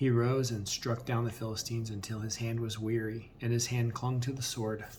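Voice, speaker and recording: A soft-spoken man talks in a somewhat breathy voice with a dark, mellow tone and monotone, flat intonation. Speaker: bible reader. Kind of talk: reading aloud. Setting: at home on camera.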